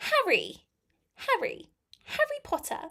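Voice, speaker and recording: Putting on a squeaky character voice in a British accent, a woman speaks at an extremely high pitch and a fairly slow pace. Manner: repeating the name to demonstrate accent.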